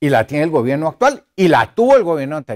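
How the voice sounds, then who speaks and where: A man's fairly high voice, very wide pitch swings, a fairly quick pace, and a dry, close sound with no echo. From Colombia. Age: 60s. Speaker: former diplomat and foreign policy speaker. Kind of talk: lecture.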